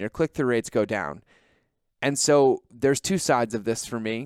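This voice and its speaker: Recorded very cleanly against a silent background, a man speaks at a medium pitch with a dry, close sound and no echo. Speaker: podcast host. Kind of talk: solo podcast monologue. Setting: rented conference room. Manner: fast; animated.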